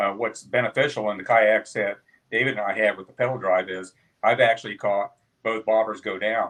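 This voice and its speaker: In an unremarkable speaking voice, a man of medium pitch talks at a fairly quick pace with fairly even intonation. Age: 60s. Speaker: kayak angler. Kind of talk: casual chat.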